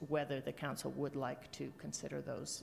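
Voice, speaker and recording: Over light background noise, a woman talks at a moderate pace with vocal fry. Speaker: council presenter. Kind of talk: briefing presentation. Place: hall. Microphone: podium.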